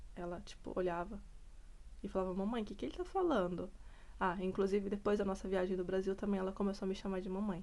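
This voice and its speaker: A dark, mellow tone moves at a very fast pace with fairly even intonation. Audible room echo surrounds the voice. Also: woman, medium pitch for a woman. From Brazil. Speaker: vlogger, mother. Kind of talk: casual vlog talk. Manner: conversational, hesitant.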